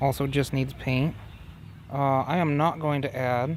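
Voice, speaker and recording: A man speaks in an unremarkable speaking voice at medium pitch. His pace is moderate and his pitch varies in an ordinary way. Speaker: DIY truck restoration YouTuber. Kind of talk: casual workshop tutorial. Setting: inside a truck.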